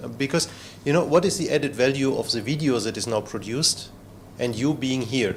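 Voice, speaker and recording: Here a man is speaking. He has a non-native accent. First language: not English. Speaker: trainer and former researcher. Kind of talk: lecture. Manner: halting, many fillers.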